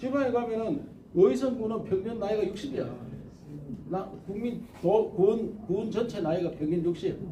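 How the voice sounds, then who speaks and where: A Gyeongsang accent at a fairly slow pace, with ordinary pitch variation and audible room echo. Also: man, high pitch for a man. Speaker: presidential candidate. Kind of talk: interview answer. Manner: animated.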